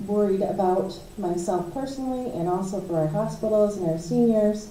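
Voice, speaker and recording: Noticeable background noise and audible room echo accompany a woman with an American accent who speaks at a medium pitch. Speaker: county commissioner. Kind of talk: public meeting update.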